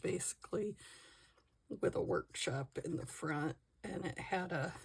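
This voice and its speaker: A woman talks at a fairly slow pace in a fairly low voice with vocal fry. Her intonation is lively. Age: 60s. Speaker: crafting vlogger. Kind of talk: casual chat while crafting.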